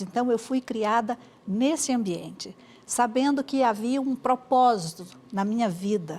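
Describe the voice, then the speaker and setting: A woman's fairly high voice carries lively intonation as she speaks very slowly. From Brazil, Espírito Santo (Cachoeiro de Itapemirim). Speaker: Baptist women's organization director. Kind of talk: interview testimony. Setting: TV studio, live broadcast.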